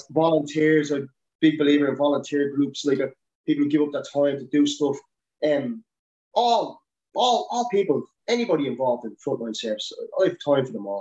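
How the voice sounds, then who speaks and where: Fairly quick speech in a Dublin accent, with lively intonation and long, frequent pauses. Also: man. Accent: Dublin Irish. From Dublin, Ireland. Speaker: helicopter winchman and paramedic. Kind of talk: casual interview chat. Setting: video call.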